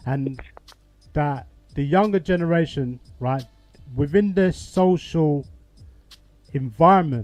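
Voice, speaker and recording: A man speaks at a fairly high pitch. Music plays in the background. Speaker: talk show host. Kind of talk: call-in discussion. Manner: loud.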